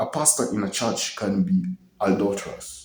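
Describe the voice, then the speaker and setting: With vocal fry and a dark, mellow tone, a man talks at a fairly slow pace amid audible room echo. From Kenya. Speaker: video blogger. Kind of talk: personal monologue to camera. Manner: casual, hesitant with many fillers.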